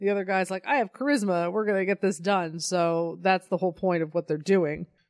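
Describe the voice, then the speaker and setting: A woman with a plain, everyday voice and an American accent, medium pitch, ordinary pitch variation and a moderate pace, in a dry, close sound with no echo against a quiet background. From Colorado. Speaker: podcast co-host. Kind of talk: casual chat.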